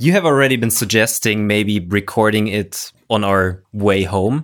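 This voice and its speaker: With a German accent, a man speaks at a fairly slow pace. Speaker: podcast co-host and maker. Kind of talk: casual podcast chat. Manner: halting, searching for words.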